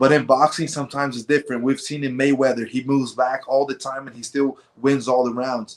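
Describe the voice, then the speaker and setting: This man has a plain, everyday voice pitched fairly high and talks at a fairly quick pace. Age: 20s. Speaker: mixed martial arts fighter. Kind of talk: interview.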